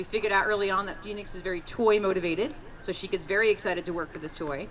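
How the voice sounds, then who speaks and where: Noticeable background noise runs under this recording. A woman at medium pitch speaks at a very fast pace with ordinary pitch variation. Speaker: police canine handler. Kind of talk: live demonstration. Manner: loud.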